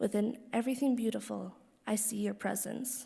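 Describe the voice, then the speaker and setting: A quiet woman's dark, mellow voice in a monotone, flat intonation at a moderate pace, on a very clean recording with a silent background. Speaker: daughter of the deceased giving eulogy. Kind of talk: reading aloud a personal letter at a funeral. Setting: funeral service hall.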